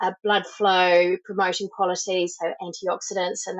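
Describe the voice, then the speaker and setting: Speaking at a moderate pace, a woman with a New Zealand accent has a medium pitch. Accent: New Zealand, noticeable. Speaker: supplement company founder, former sports journalist. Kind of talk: podcast interview.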